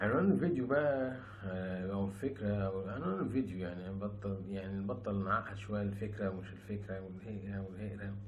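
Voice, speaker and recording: The speech moves at a moderate pace with hardly any pauses and fairly even intonation. There is audible room echo along with noticeable background noise. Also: man, fairly low pitch for a man. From Egypt. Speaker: YouTuber, former rapper. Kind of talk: casual vlog monologue. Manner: soft-spoken.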